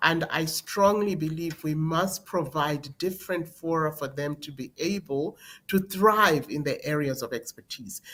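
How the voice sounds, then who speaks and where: A woman speaks at a fairly slow pace in a very deep, low voice with ordinary pitch variation, on a very clean recording with a silent background. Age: 60s. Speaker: politician and presidential candidate. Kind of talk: interview.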